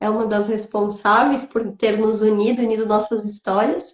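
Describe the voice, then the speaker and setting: Fairly high in pitch, a woman's voice comes through. She talks at a moderate pace. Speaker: live show host. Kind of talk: live interview.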